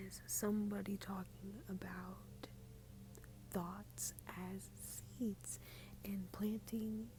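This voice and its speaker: A woman whispers quietly at a very slow pace, with noticeable background noise behind her. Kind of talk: casual talk to camera. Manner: quiet, partly whispered.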